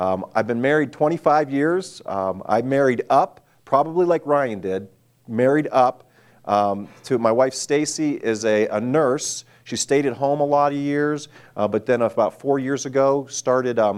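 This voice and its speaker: A man talks in a plain, everyday voice, fairly high in pitch for a man, with ordinary pitch variation at a moderate pace. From US, northwest Pennsylvania. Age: 40s. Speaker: missionary and former pastor. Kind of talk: sermon-style talk to students.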